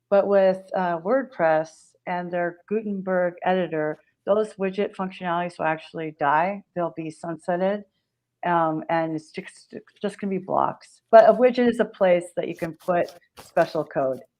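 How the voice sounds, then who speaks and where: Speaking in an unremarkable speaking voice with an American accent, a woman keeps a medium pitch, ordinary pitch variation and a fairly slow pace. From Pacific Grove, California. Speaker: marketing entrepreneur and author. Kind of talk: interview. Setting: live stream.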